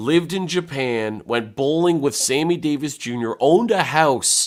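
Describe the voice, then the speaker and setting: In a Canadian accent, a man uses a normal speaking voice, fairly high in pitch, at a moderate pace with lively intonation. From Canada, Hamilton, Ontario. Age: 30s. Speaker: stand-up comedian and actor. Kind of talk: casual interview chat.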